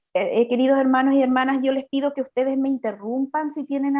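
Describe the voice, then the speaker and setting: The woman's pitch is high. Her tone comes across dark and mellow. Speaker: psychologist and pastor giving a talk. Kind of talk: lecture. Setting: video call. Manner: halting, many repetitions.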